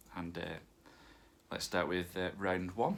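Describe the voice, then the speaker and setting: A man's very deep, low voice with a northern English accent, at a moderate pace. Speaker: quiz host. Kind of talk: hosting an online quiz. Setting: home recording with pet nearby. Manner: casual, many fillers.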